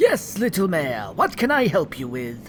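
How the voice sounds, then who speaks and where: Using a put-on character voice at a middle pitch with very wide pitch swings, the speaker keeps a moderate pace amid clear background noise. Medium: audio drama. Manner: flamboyant, fussy.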